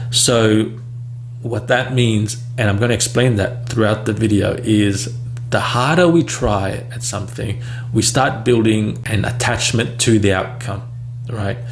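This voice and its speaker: A man at a fairly slow pace with fairly even intonation, audible room echo and noticeable background noise. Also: medium pitch for a man. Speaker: speech coach for people who stutter. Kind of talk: casual talking-head vlog. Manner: halting, with fillers and repetitions.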